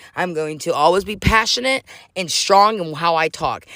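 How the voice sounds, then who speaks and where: A loud, animated woman with a bright, sharp tone, her fairly low voice making very wide pitch swings. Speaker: podcast host. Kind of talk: casual chat.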